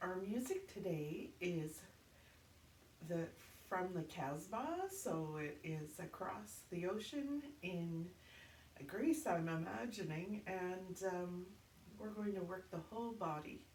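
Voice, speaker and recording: With lively intonation and an upbeat tone, a somewhat breathy woman speaks at a very slow pace with long, frequent pauses, amid audible room echo. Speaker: fitness instructor. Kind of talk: exercise class instruction.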